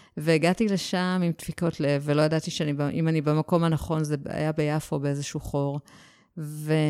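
A woman's very deep, low voice has a dark, mellow tone, a fairly slow pace and fairly even intonation. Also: very even loudness, very clean recording, silent background. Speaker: novelist. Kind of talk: casual interview.

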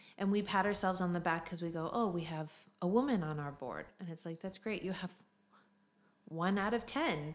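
In a normal speaking voice, a woman with an American accent speaks at a fairly quick pace, her pitch fairly low and her pitch variation ordinary. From United States. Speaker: content and event manager, church leader. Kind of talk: casual interview chat. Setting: podcast recording.

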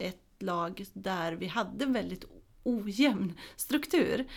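A woman speaks with lively intonation. Her voice carries vocal fry. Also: very clean recording, silent background. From Småland, Sweden. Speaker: football coach educator. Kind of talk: casual interview. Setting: studio.

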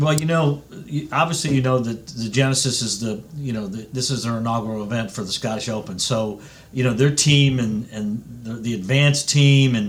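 At a moderate pace, the speaker talks in a somewhat breathy voice. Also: man. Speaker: golf club executive. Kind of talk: radio interview. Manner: animated.

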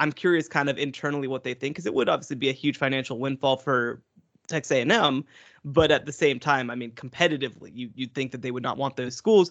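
A man's medium-pitched voice at a very fast pace, with ordinary pitch variation against a quiet background. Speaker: college football writer. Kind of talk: casual chat.

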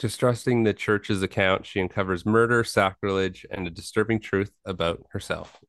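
A man with an ordinary speaking voice talks at a moderate pace in a fairly low pitch with fairly even intonation, in a dry, close sound with no echo. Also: hardly any pauses, quiet background. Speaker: horror podcast co-host. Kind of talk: casual chat.

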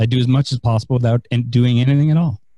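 With an American accent, a man talks at a medium pitch in a dark, mellow tone, recorded dry and close with no echo. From San Francisco, US West Coast. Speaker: author and investor. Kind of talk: podcast interview. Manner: halting, many fillers.

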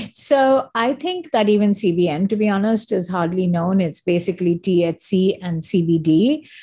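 Over a very clean, silent background, a woman speaks at a fairly slow pace with lively intonation. Her tone is dark and mellow, and somewhat breathy. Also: medium pitch for a woman. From India. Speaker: marketing executive. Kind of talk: interview conversation.

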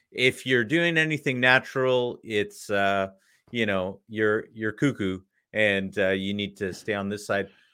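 A man with a Canadian accent, an ordinary speaking voice, fairly low-pitched, with ordinary pitch variation and a fairly slow pace. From Canada. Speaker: podcast host. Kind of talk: casual interview.

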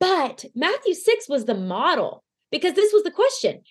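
Moderate pacing from a woman with a Southern US accent. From Arkansas. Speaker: singer-songwriter and podcaster. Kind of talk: casual interview chat. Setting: video call.

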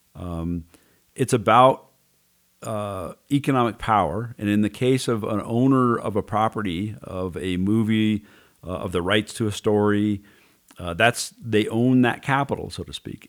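A man speaks fairly slowly in a plain, everyday voice, with ordinary pitch variation. The recording is very clean, with a silent background. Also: fairly low pitch for a man. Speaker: podcast host. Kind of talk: casual discussion. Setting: studio.

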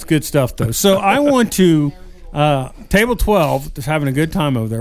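Over background music, a man speaks at a fairly quick pace and fairly high pitch with lively intonation. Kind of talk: radio-style sales pitch / ad read. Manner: upbeat, rapid-fire announcer cadence with infomercial hype.

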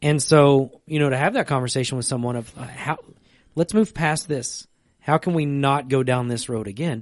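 Against a quiet background, a man with a plain, everyday voice talks at a moderate pace in a fairly high pitch, with ordinary pitch variation. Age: 30s. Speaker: church podcast co-host, pastor. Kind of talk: casual chat about faith. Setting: church stream room.

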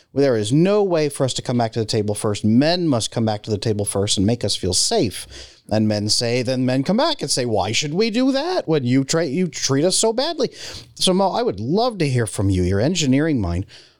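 Speaking with an American accent, a man talks at a fairly quick pace at a medium pitch. His pitch swings very widely while his loudness stays very even. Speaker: relationship coach, former psychotherapist. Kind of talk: podcast interview.

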